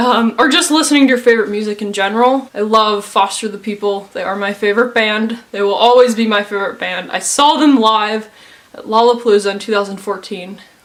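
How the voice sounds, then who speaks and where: A woman's fairly quick speech at a fairly high pitch, with ordinary pitch variation, big swings in loudness and noticeable background noise. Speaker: YouTuber. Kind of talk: personal testimony. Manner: casual, hesitant.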